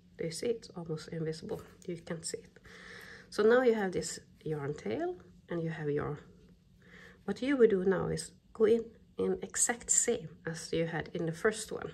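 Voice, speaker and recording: A woman with a non-native accent speaks at a fairly low pitch in a dark, mellow, somewhat breathy tone with lively intonation. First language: not English. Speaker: crochet pattern designer. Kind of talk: crafting tutorial talk-through. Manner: slow.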